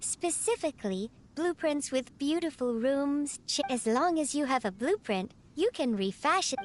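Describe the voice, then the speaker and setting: A female-sounding voice uses a put-on character voice, high-pitched and at a moderate pace. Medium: video game. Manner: formal, polite, precise.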